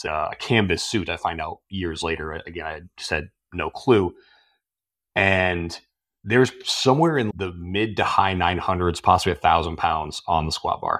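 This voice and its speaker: A man with a very deep, low pitch speaks at a moderate pace with ordinary pitch variation. The recording is very clean, with a silent background. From US East Coast, near Washington DC. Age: 40s. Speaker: logistics executive. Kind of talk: podcast interview.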